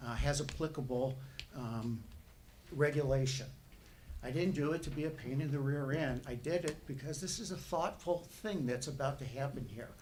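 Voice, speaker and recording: A man with an American accent talks at a moderate pace and a fairly high pitch. His pitch varies in an ordinary way, and the room echo is audible. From northern US. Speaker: resident speaking at public hearing. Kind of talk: public comment at planning meeting.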